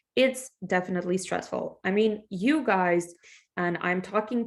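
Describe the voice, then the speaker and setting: A woman talks with a Russian accent. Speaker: English teacher. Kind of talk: class introduction. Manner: casual, conversational.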